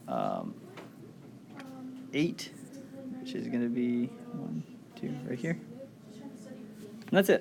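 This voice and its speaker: A soft-spoken man over noticeable background noise. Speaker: math review presenter. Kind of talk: tutorial. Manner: casual.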